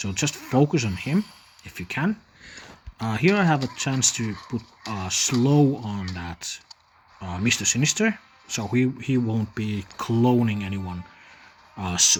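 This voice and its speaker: The speech is mumbled and fairly slow, broken by long, frequent pauses. Background noise is noticeable. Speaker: gaming youtuber. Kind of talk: gameplay commentary tutorial. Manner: mumbling; hesitant, many fillers.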